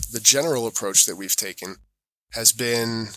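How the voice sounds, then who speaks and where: In an American accent, a man speaks with a bright, sharp tone. The recording is very clean, the background silent. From Europe, US-born with American mother. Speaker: certification auditor. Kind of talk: interview conversation.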